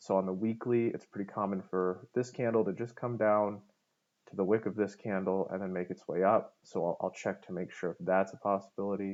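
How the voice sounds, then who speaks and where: Speaking in an ordinary speaking voice, a man moves at a fairly quick pace with a fairly low pitch. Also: fairly even intonation. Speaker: forex trading analyst. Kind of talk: tutorial.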